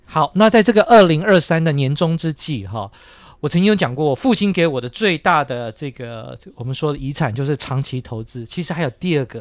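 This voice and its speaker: The recording is very clean with a silent background. A normal speaking voice moves at a fairly quick pace with big swings in loudness. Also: man. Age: 50s. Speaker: economics teacher and podcast host. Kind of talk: casual chat.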